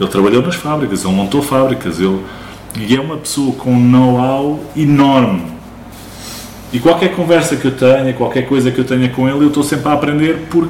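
A man at medium pitch and a fairly quick pace with ordinary pitch variation, amid audible room echo and noticeable background noise. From Portugal, Barreiro (Lisbon area). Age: 40s. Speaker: small business owner, laser engraving workshop. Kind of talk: casual interview chat.

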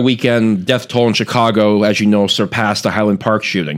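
Here is an ordinary speaking voice from a man with fairly low pitch. He talks at a fairly quick pace. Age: 20s. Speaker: media analyst. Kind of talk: casual chat. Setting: studio.

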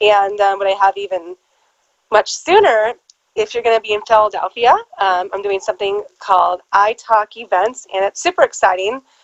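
A woman with a Californian accent talks at a moderate pace, medium in pitch with ordinary pitch variation. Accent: Californian American. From Southern California. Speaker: actress and publicist. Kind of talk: casual interview.

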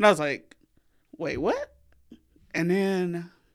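A woman with a strong Southern US accent at a fairly slow pace, on a very clean recording with a silent background. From US South. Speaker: podcast co-host. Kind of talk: casual chat.

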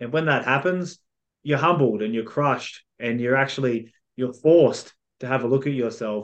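Male voice with an Australian accent, medium pitch, ordinary pitch variation and a moderate pace, over a quiet background. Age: 30s. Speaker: mindset coach and author. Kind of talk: casual chat.

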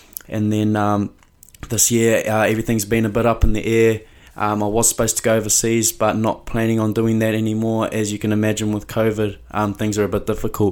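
A man with a New Zealand accent, fairly low pitch, monotone, flat intonation and a fairly quick pace, on a very clean recording with a silent background. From New Zealand (Mount Maunganui). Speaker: rugby player. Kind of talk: casual monologue.

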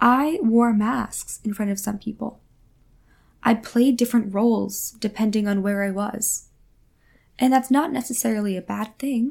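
Speaking at a moderate pace, a woman has a fairly high, somewhat breathy voice with a warm tone and ordinary pitch variation. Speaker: spiritual podcast host and energy healer. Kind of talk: solo monologue, spiritual talk. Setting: home recording at a mic. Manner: warm, conversational, reflective.

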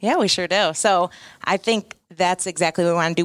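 In an ordinary speaking voice, a woman with an American accent talks fairly quickly at a fairly low pitch with fairly even intonation, in a very clean recording with a silent background and a dry, close sound with no echo. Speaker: footwear company representative. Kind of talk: casual interview. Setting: trade event.

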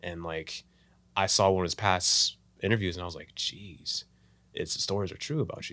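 The tone is bright and sharp, with ordinary pitch variation and big swings in loudness at a moderate pace. It is a very clean recording with a silent background. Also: man, very deep, low pitch for a man. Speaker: filmmaker. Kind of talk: casual chat. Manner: casual, talkative.

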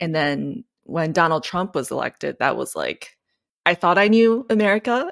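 Lively in intonation, a woman speaks at a moderate pace with a fairly low pitch and vocal fry. The sound is dry and close with no echo, in a very clean recording with a silent background. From Japan. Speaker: classical pianist. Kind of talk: interview.

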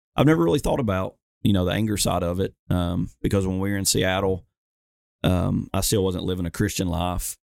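A man with a Southern US accent speaks in a very deep, low voice at a fairly quick pace. His pitch varies in an ordinary way, and the recording is very clean with a silent background. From Alabama, US South. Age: 20s. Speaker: firefighter and veteran. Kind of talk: casual interview chat.

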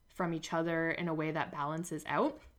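A woman with a Canadian accent speaks at a moderate pace in a fairly low pitch. The recording is very clean, with a silent background. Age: 20s. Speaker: podcast host and naturopathic medicine student. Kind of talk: casual solo monologue.

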